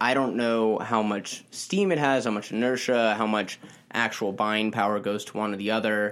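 A man speaks in an ordinary speaking voice at a moderate pace. His pitch sits in the middle range with ordinary variation. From US Mid-Atlantic, DC suburbs. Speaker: newspaper reporter. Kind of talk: casual interview.

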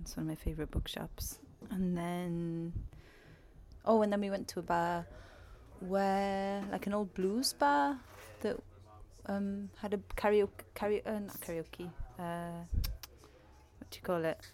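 Speaking in a Welsh accent, a woman talks at a fairly slow pace and medium pitch, with fairly even intonation and long, frequent pauses. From Wales. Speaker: musician. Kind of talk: casual interview.

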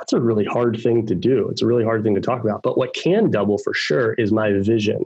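A man with an American accent speaks at a moderate pace and medium pitch. He has an unremarkable speaking voice with fairly even intonation. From Baltimore, Maryland, US. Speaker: tech sales executive. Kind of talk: interview.

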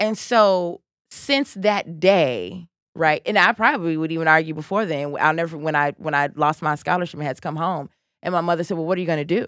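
A woman with an American accent and an unremarkable speaking voice, fairly low in pitch, with ordinary pitch variation, a fairly quick pace, and a dry, close sound with no echo. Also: very clean recording, silent background. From Chicago South Side. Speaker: political candidate. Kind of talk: interview. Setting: studio.

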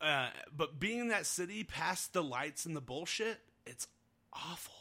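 Speaking at a fairly slow pace in a Northern Nevada accent, a man uses a fairly high pitch, a bright, sharp tone and lively intonation. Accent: Northern Nevada American. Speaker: podcast host. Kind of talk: casual chat. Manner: casual, friendly.

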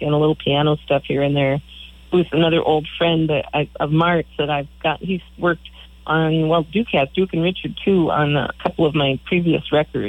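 A woman talks with an American accent. Her very deep, low voice keeps a fairly even intonation. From Michigan. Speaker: singer-songwriter. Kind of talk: radio interview.

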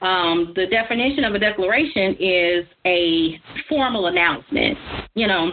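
Moderate pace and ordinary pitch variation. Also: woman, fairly low pitch for a woman.

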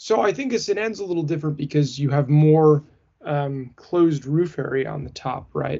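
At a moderate pace, a man speaks in an ordinary speaking voice at a fairly high pitch with ordinary pitch variation. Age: 30s. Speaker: car podcast co-host. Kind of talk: casual chat.

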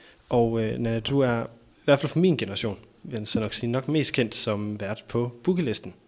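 At a medium pitch, a male speaker uses an unremarkable speaking voice. His pace is moderate and his pitch varies in an ordinary way. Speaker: podcast host. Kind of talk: casual chat.

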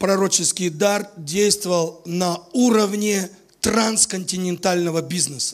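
Noticeable background noise surrounds a man speaking at a very slow pace. His pitch is high, with ordinary variation. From Latvia, Riga. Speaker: visiting preacher. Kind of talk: sermon.

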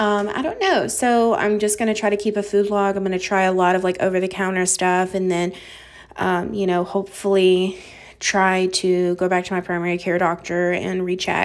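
A woman's voice at a moderate pace, with monotone, flat intonation and very even loudness. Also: medium pitch for a woman. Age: 20s. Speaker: podcast host. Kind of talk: casual solo chat. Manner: casual, many fillers.

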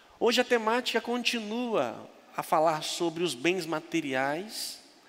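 Noticeable noise in the background accompanies speech with lively intonation. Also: man. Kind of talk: sermon. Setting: church.

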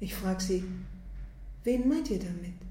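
A woman is talking. Her voice has vocal fry. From Germany. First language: German. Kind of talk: interview.

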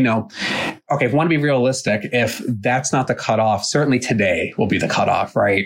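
This man's is a normal speaking voice, pitched in the middle range. He talks at a moderate speed. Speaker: podcast host, therapist. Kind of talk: casual chat, podcast check-in.

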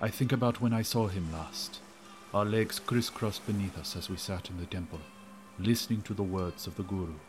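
A man's fairly quick speech with ordinary pitch variation and music in the background. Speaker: audio drama narrator. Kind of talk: horror audio drama first-person narration. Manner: hushed, brooding, suspenseful, dread-laden and awestruck.

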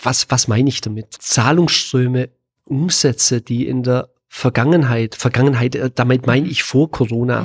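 A man speaks at a fairly slow pace, his pitch medium and his intonation fairly even. The voice is somewhat breathy, and the sound is dry and close with no echo. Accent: slight Swabian. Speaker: business consultant. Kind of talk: podcast interview. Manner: frequent filler sounds.

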